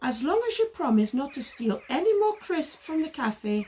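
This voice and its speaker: A put-on character voice from a woman, high-pitched and shrill, with very wide pitch swings at a moderate pace. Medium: read story. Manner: squawking.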